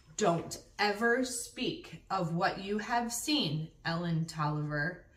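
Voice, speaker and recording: A woman's gruff, stern put-on character voice, medium in pitch, very slow, with lively intonation. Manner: stern warning.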